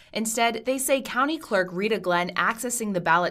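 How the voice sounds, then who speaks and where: A plain, everyday voice. A woman with a fairly high pitch and lively intonation speaks at a moderate pace on a very clean recording with a silent background. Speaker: TV news reporter and weekend morning anchor. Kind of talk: TV news reporting and anchoring.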